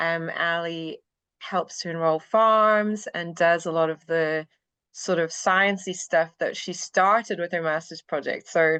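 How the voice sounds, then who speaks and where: Over a quiet background, a woman with a bright, sharp tone and a fairly low pitch speaks at a fairly slow pace with fairly even intonation. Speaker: university lecturer in veterinary science. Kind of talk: podcast interview. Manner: hesitant, many fillers.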